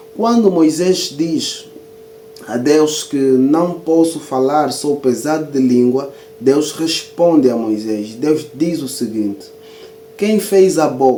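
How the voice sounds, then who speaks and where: With music in the background and audible room echo, a man speaks very slowly at a fairly high pitch with lively intonation. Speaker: Bible teacher and author. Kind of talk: video lecture.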